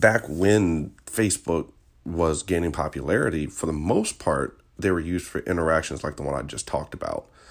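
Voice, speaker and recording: In an American accent, a man talks at a moderate pace with a very deep, low pitch, vocal fry and a relaxed tone. The recording is very clean, with a silent background. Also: ordinary pitch variation. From Virginia, US. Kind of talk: casual solo podcast monologue. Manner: relaxed, with fillers and laughs.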